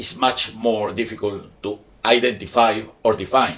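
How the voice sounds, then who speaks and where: The speaker is a man. His speech carries a Spanish accent. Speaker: video essayist on science topics. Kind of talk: scripted narration. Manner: formal.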